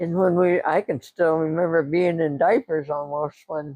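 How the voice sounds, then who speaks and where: With a dark, mellow tone, a woman speaks at a fairly slow pace and with fairly even intonation in a dry, close sound with no echo. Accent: Pennsylvania. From Pennsylvania. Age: 80s+. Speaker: retired farmer. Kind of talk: interview answer.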